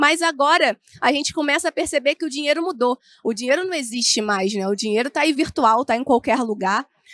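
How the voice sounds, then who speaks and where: Recorded with a dry, close sound and no echo, the speaker talks at a fairly quick pace in a Carioca accent with lively intonation. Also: woman, high pitch for a woman. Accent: carioca, with the hissing S. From Rio de Janeiro state, Brazil (Niterói). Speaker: information security analyst, speaker. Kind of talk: conference talk. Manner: informal, many fillers.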